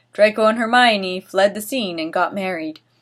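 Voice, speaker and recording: A woman speaks in a plain, everyday voice, fairly high in pitch with lively intonation. Her pace is moderate, on a very clean recording with a silent background. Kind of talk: dramatic reading of fanfiction, comedic, casual talk to camera. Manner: expressive, ironic, mocking.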